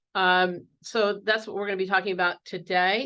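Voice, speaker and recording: A woman talks at a very fast pace. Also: quiet background. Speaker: conference presenter on educational technology. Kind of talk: conference presentation.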